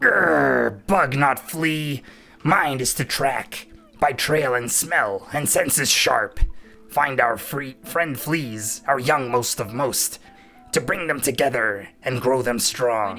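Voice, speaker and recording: A man speaks in a put-on character voice at medium pitch, very slowly, with faint music in the background. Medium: game stream. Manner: gruff, broken grammar, growling.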